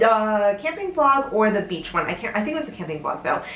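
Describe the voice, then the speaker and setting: The woman's fairly high voice comes through over clearly audible background noise. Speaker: home sewist. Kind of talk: casual talk to camera.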